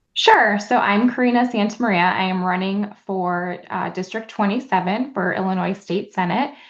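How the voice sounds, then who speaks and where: Over a quiet background, a woman speaks at a moderate pace in a medium pitch with ordinary pitch variation. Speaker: state senate candidate and social worker. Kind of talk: interview.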